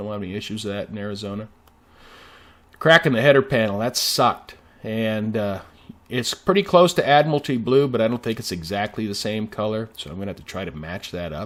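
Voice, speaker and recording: A man at a fairly quick pace with lively intonation, fairly low pitch and an unremarkable speaking voice. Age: 60s. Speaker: car restoration hobbyist. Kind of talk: video narration. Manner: casual, many fillers.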